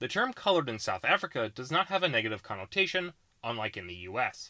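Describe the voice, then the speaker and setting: A man with an American accent, a bright, sharp tone, very wide pitch swings and a very fast pace, in a very clean recording with a silent background. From US Pacific Northwest, Washington State. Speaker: YouTube political explainer creator. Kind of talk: scripted narration.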